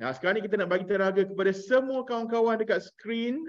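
A man's high-pitched voice with lively intonation at a fairly quick pace. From Malaysia, Melaka; Malaysia. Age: 40s. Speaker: parenting trainer and former radio DJ; parenting course trainer. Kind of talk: online workshop talk. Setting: video call. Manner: animated. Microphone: video call.

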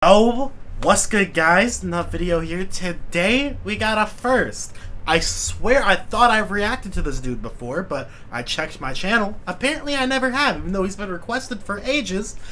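A man talks at a moderate pace. Light background noise sits behind him. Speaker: YouTube reaction creator. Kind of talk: casual reaction commentary. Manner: excitable, swearing, laughing a lot. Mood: amused, laughing. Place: home room.

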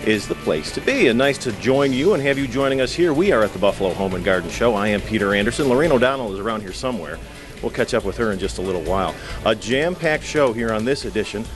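A man talking at a very fast pace over clear background music. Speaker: TV show host. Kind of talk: broadcast show intro. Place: hall. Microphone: handheld.

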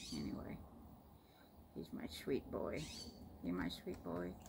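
A woman with an American accent speaks at a very slow pace. Noticeable background noise is audible. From Florida, USA. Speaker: pet owner. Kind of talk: casual talk to camera. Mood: affectionate, relaxed. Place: home room. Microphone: phone near.

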